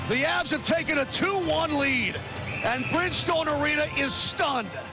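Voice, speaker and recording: Over clear background music, a man speaks at a very slow pace, the sound dry with no echo. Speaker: radio play-by-play commentator. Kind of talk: live radio sports play-by-play call. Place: booth.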